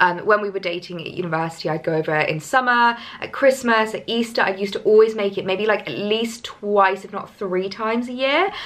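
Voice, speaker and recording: A woman of medium pitch talks at a fairly quick pace with hardly any pauses and ordinary pitch variation, over noticeable background noise. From southern England, Hampshire. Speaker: lifestyle vlogger. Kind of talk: casual vlog chat.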